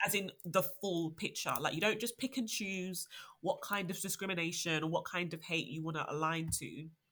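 Moderate pace in a British accent. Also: woman, fairly low pitch for a woman, ordinary pitch variation. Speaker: podcast host. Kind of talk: casual chat.

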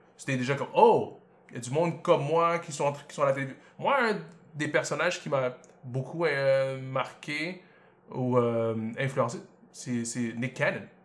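A man with a fairly high pitch and ordinary pitch variation talks at a fairly slow pace. His loudness swings widely, and he takes long, frequent pauses. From Montreal, Quebec (Côte-des-Neiges); born in Congo. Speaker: podcast host. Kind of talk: casual chat.

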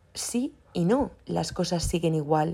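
The speaker is a woman. Her pitch sits fairly low. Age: 20s. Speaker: podcast host. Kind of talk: solo monologue. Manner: casual, hesitant fillers.

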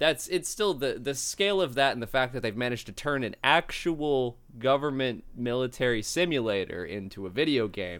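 In an unremarkable speaking voice of medium pitch, a man talks at a moderate pace with lively intonation, recorded very cleanly against a silent background. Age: 20s. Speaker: game community manager and security worker. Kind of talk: casual chat.

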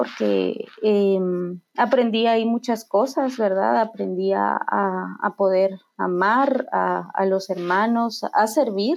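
Against a quiet background, a woman speaks at a very even loudness. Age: 30s. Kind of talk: faith testimony conversation. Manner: halting, many repetitions and fillers.

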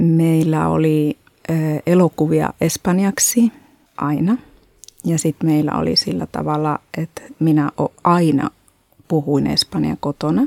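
A woman speaks at a very slow pace with long, frequent pauses. The sound is dry and close, with no echo. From Spain (Madrid). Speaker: artist and art educator. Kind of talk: interview. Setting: studio. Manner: halting, many fillers.

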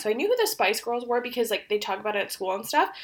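A woman talks loudly in a high voice. Her intonation is lively. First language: Polish. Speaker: podcast co-host. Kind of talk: casual chat. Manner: loud laughter.

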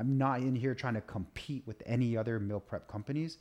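Speaking at a fairly quick pace, a man at a medium pitch has a plain, everyday voice. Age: 30s. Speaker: nutrition and fitness coach. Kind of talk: casual chat.

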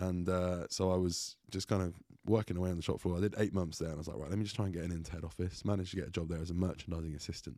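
In an English accent, a man with a very deep, low pitch and a dark, mellow tone talks at a very fast pace with fairly even intonation on a very clean recording with a silent background. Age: 30s. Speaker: bodybuilder and online coach. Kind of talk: casual chat. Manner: halting.

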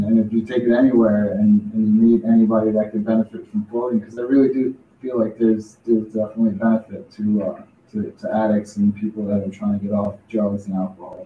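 A man's normal speaking voice, medium in pitch, with fairly even intonation and a fairly quick pace. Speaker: podcast host. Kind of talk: casual chat. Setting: studio.

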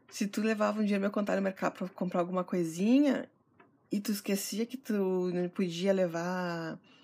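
Using a plain, everyday voice, a woman talks at a moderate pace and a medium pitch. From Santana do Livramento, Rio Grande do Sul, Brazil. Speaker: gardening podcaster and blogger. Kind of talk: casual solo podcast talk.

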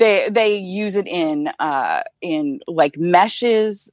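Recorded with a dry, close sound and no echo, this is an ordinary speaking voice with an American accent. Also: woman. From Northern California. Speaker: independent researcher. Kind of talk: casual chat.

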